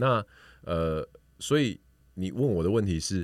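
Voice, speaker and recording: This man talks at a fairly slow pace in a very deep, low pitch, his voice making very wide pitch swings. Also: very clean recording, silent background. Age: 40s. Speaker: podcaster. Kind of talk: casual chat.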